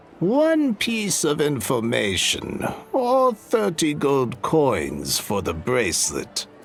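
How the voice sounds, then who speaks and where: Putting on a character voice at a fairly high pitch, a man speaks at a very slow pace over clear background noise. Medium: video game. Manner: businesslike, cryptic.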